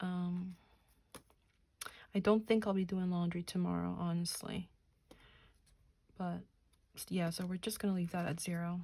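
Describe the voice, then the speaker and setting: A woman's somewhat breathy, medium-pitched voice at a moderate pace, monotone and flat, broken by long, frequent pauses. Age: 30s. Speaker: budgeting YouTuber. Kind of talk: casual vlog tutorial. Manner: casual, chatty; counting aloud.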